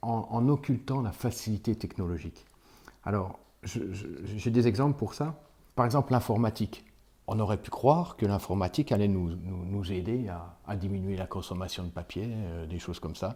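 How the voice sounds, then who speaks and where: A man with a fairly low pitch talks in a dark, mellow tone that is somewhat breathy. He keeps a moderate pace with ordinary pitch variation. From France, Vosges (near Épinal). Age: 60s. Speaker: village mayor and teacher. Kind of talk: interview testimony. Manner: halting, many hesitations.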